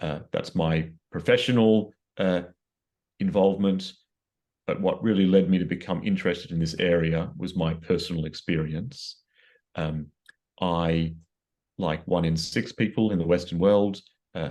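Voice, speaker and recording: A man with an Australian accent and a dark, mellow tone, very deep and low in pitch, at a moderate pace with long, frequent pauses and fairly even intonation against a quiet background. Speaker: psychiatrist. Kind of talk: interview. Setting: video call. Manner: halting.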